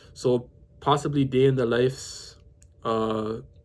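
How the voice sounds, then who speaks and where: A man's medium-pitched, monotone voice with flat intonation, in a Toronto accent. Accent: Canadian (Toronto) English. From Toronto, Canada. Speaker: vlogger. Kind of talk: casual talk to camera. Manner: halting, self-correcting.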